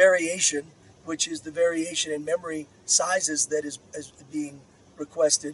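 The man's voice is fairly high-pitched and moves at a moderate pace with big swings in loudness. The sound is dry with no echo. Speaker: software engineering manager. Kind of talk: interview answer. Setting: outdoors. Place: open country.

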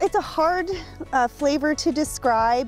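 A woman talks at a fairly slow pace. Faint music plays in the background, and the sound is dry with no echo. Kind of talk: interview answer. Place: waterside.

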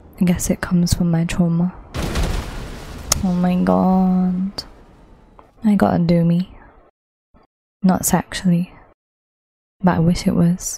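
A woman's fairly low, monotone voice with flat intonation, very even loudness, fairly slow pace and long, frequent pauses. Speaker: gaming YouTuber. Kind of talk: gameplay commentary.

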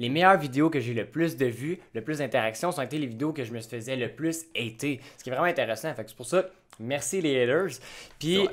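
A man with a Quebec accent and a fairly high pitch speaks at a fairly quick pace with ordinary pitch variation and big swings in loudness, on a very clean recording with a silent background. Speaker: YouTube host. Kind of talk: casual chat.

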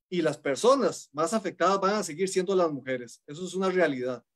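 With lively intonation, a man speaks over a quiet background. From Costa Rica. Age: 40s. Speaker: judge. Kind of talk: panel discussion. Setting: video call. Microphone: video call.

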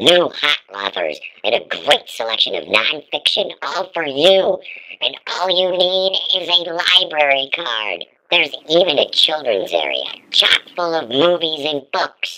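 The clip is a cartoonish character voice at middle pitch. It moves at a fairly slow pace. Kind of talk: library promo narration. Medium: puppet.

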